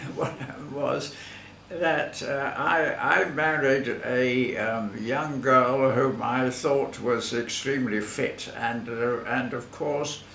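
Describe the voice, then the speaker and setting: At a very slow pace and medium pitch, a man speaks with fairly even intonation amid light background noise and audible room echo. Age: 80s+. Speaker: masters athlete; interviewee. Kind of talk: interview. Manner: halting. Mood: relaxed, reminiscing. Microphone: camera far.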